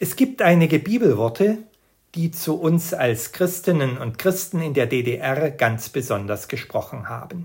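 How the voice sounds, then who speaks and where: Speaking at a fairly slow pace, a man with a fairly high pitch moves through very wide pitch swings. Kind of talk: scripted devotional talk.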